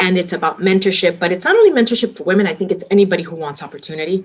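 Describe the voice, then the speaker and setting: A woman with a fairly low pitch speaks in a Miami accent. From Miami, Florida (Hialeah), Cuban-American community. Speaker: restaurant company executive. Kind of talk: interview. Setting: podcast interview.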